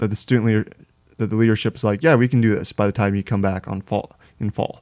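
A man's dark, mellow tone at fairly low pitch, with fairly even intonation, in a dry, close sound with no echo. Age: 20s. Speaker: college student. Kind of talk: casual interview.

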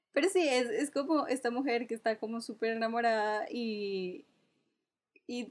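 A woman with a high pitch and ordinary pitch variation is heard on a very clean recording with a silent background. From Colombia, Cúcuta. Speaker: podcast co-host. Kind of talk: casual chat.

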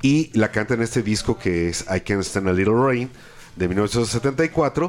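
With a Mexican accent, a man talks at a very slow pace, his intonation lively and his loudness very even. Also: medium pitch for a man. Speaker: radio co-host and producer. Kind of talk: live radio chat.

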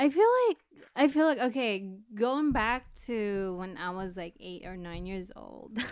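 A woman at a medium pitch in a normal speaking voice with an American accent, fairly slow in pace, lively in intonation, with big swings in loudness. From Philippines, then East Bay California from age 10. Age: 40s. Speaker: photographer, podcast co-host. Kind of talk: casual chat.

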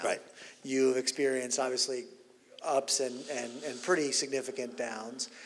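A man speaks at a medium pitch. His pace is moderate, with noticeable background noise. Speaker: interviewer and conference host. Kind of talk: onstage interview conversation. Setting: conference stage with audience.

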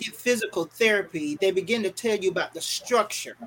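The pace here is moderate. The speaker has a North Carolina accent. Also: woman. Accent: US Southern (North Carolina). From Fayetteville, North Carolina. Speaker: radio broadcaster. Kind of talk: interview, motivational talk. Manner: halting, with fillers.

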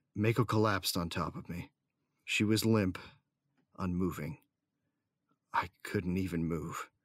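With an intense tone and a very deep, low pitch, a man speaks at a fairly slow pace with long, frequent pauses and ordinary pitch variation. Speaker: audio drama actor, narrator character. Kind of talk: sci-fi audio drama first-person narration, tense and dramatic. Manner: tense, grieving, intense.

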